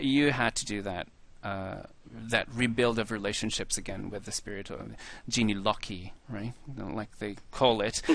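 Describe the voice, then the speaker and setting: Against a quiet background, a man with a fairly low voice and vocal fry talks at a moderate pace, his intonation fairly even. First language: not English. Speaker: podcast host. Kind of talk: interview. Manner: halting.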